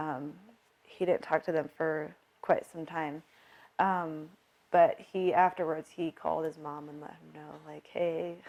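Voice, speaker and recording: Speaking with an American accent, a woman uses a very deep, low pitch and monotone, flat intonation at a fairly slow pace, with big swings in loudness. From US Northwest (South Dakota, Montana). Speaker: military widow. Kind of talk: interview testimony. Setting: at her home.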